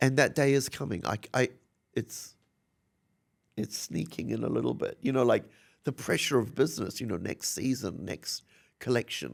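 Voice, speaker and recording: A man with a New Zealand accent speaks with long, frequent pauses. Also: moderate pace. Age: 60s. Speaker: fashion designer. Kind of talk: interview. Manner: animated.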